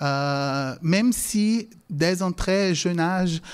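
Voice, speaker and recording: A man speaks with a Portuguese accent at a high pitch. The recording is very clean, with a silent background. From Brazil, then England as a teen. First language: Portuguese (speaking French). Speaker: language lecturer. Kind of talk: lecture. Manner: halting, many fillers.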